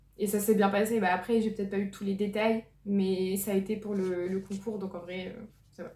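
Over noticeable background noise, a woman speaks in a flat monotone. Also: medium pitch for a woman, moderate pace. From northern France (Lille). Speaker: medical student. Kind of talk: testimony.

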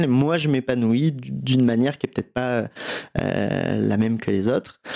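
Fairly even in intonation, a man speaks at a medium pitch and a moderate pace. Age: 30s. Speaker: agency founder. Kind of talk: interview. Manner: halting, many fillers.

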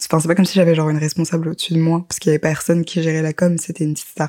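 Her tone is dark and mellow, her pitch fairly low, and her intonation flat and monotone. The woman speaks very fast, with a dry, close sound and no echo. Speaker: podcaster. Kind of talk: personal storytelling. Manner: casual, hesitant with fillers.

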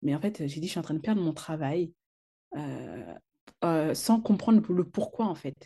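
At a fairly slow pace, a woman speaks with long, frequent pauses. Her fairly low voice has a dark, mellow tone and ordinary pitch variation. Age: 30s. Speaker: entrepreneur. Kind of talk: personal testimony. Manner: halting, many fillers.

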